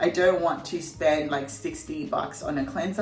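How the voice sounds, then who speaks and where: Amid noticeable background noise and audible room echo, a woman speaks at a fairly quick pace with a fairly low pitch. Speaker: beauty vlogger. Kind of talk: tutorial. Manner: casual, chatty.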